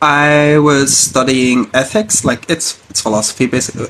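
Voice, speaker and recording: A man at a moderate pace, with ordinary pitch variation and noticeable background noise. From Syria (Hasaka). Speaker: refugee. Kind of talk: interview. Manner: halting.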